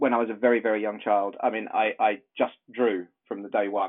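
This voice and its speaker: A man with an English accent at a fairly quick pace. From southern England. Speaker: illustrator and animator. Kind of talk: interview.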